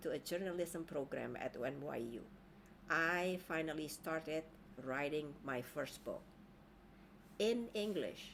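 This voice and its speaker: A woman speaks at a very slow pace with a fairly low pitch. Her intonation is lively. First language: Indonesian. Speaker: life coach. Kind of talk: online training talk.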